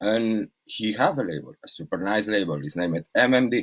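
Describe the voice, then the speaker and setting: A man speaks with vocal fry and a Spanish accent. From Spain. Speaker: DJ and label manager. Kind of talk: casual chat. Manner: halting.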